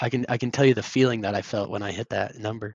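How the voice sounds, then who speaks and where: In a Midwestern American accent, a man talks at a very fast pace. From Indianapolis, Indiana, US Midwest. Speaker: sales account executive. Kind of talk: interview.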